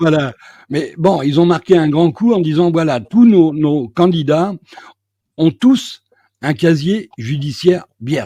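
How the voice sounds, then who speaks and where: A man speaks very slowly with long, frequent pauses in a fairly high voice with a dark, mellow tone. His intonation is lively. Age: 70s. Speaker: journalist interviewer. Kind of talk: political discussion.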